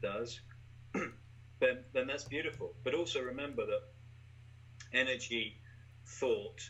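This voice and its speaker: A man with an English accent at a very slow pace. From England. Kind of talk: casual conversational interview.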